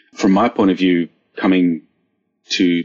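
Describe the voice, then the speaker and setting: A man with an Australian accent. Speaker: software engineer. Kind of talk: panel discussion.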